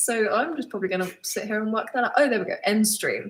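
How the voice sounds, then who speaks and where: A very fast pace in a southern English accent. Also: woman. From England, Suffolk. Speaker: vlogger. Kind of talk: live Q&A stream. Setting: live stream at home. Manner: casual, hesitant with many ums.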